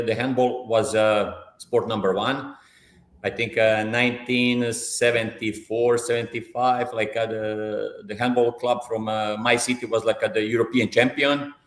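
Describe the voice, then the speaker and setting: A man talks at medium pitch and a moderate pace. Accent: Croatian. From central Croatia (Bjelovar). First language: Croatian. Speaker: football coach. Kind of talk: live interview. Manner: hesitant, many fillers and repetitions.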